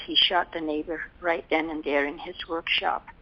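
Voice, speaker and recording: A woman's fairly low, monotone voice with flat intonation over noticeable background noise. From Netherlands. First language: Dutch. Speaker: war survivor. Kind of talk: oral history interview answer.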